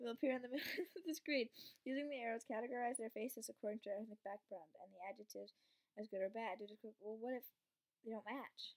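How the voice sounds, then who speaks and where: In a quiet background, a woman talks at a very fast pace with ordinary pitch variation. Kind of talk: casual commentary while reading quiz text. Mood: amused, a bit unsure. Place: home room. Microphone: webcam.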